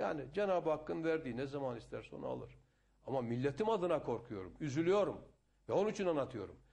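Lively intonation marks this man's fairly high voice at a moderate pace. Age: 60s. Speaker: politician. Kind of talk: interview. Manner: animated.

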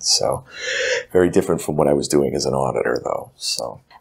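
The man speaks at a fairly quick pace. Noticeable noise sits behind him. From New Hampshire. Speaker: health clinic CEO. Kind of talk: interview.

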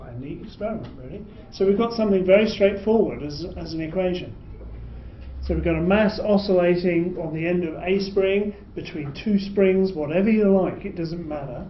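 Amid noticeable background noise, a man with a high pitch talks at a moderate pace, his intonation fairly even but his loudness swinging widely. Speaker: physics lecturer. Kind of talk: lecture. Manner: explanatory, uses filler words.

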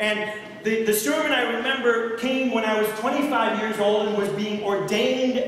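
A man talks at a fairly slow pace. The room echo is strong, and light background noise sits underneath. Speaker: pastor. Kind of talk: sermon. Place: church. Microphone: camera far.

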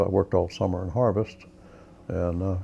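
A man's somewhat breathy voice with an Oklahoma accent, dark and mellow in tone, with fairly even intonation over light background noise. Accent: Oklahoma, US Southern Plains. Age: 80s+. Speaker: war veteran. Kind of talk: testimony. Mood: warm, reflective. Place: home room. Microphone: lapel.

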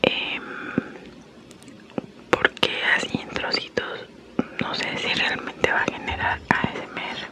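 A woman's whisper, very slow, broken by long, frequent pauses. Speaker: ASMR creator. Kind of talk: ASMR eating video. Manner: whispered. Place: home room. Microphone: studio mic.

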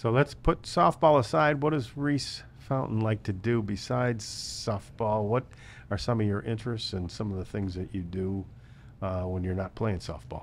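A man with an unremarkable speaking voice, fairly low pitch, lively intonation and a moderate pace. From US Midwest. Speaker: local sports podcast host. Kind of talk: interview. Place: studio. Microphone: studio mic.

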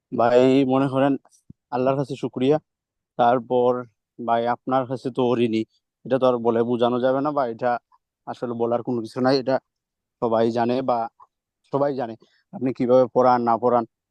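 At a medium pitch, a man speaks with monotone, flat intonation. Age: 20s. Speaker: student. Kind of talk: testimony. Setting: video call.

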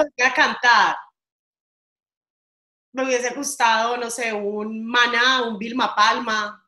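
With audible room echo, a woman speaks very slowly in a bright, sharp tone and monotone, flat intonation, leaving long, frequent pauses. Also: quiet background. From Colombia. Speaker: radio host. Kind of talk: interview answer. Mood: cheerful, friendly. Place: home room. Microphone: video call.

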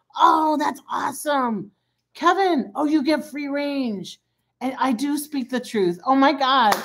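Speaking very slowly, a woman with an American accent uses a high pitch and lively intonation. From Michigan, US. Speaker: credit repair coach. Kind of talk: live-streamed tutorial. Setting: live video stream. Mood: chatty, excited at times. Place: kitchen. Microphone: phone near.

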